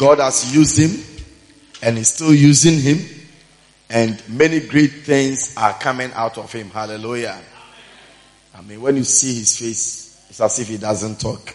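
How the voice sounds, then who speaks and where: A man speaks at a fairly slow pace in a medium pitch with ordinary pitch variation, his animated, energetic delivery broken by long, frequent pauses and big swings in loudness over noticeable background noise. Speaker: church MC introducing the preacher. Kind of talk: excited hype-up introduction of a guest preacher to a congregation. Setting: church pulpit before a live congregation. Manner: animated, energetic, urging the crowd to cheer louder; repetitive, punctuated with frequent hallelujahs.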